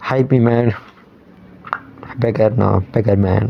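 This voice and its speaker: Over noticeable background noise, a man speaks at a medium pitch and a fairly slow pace. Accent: Tamil. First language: Tamil. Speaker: movie vlogger. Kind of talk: casual monologue vlog. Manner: halting, many fillers; animated.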